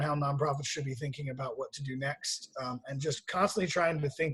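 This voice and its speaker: A somewhat breathy man with fairly high pitch, talking at a fairly quick pace. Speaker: nonprofit executive. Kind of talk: online meeting briefing. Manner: fast.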